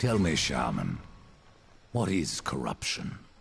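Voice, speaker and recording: Put-on character voice from a man, raspy and very deep in pitch, at a fairly slow pace. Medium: video game. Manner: terse, cold, blunt.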